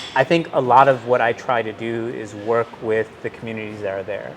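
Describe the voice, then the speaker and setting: The voice carries an American accent. Noticeable background noise is present. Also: man. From Milwaukee, Wisconsin. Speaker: technology executive. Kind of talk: interview conversation. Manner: halting, many fillers.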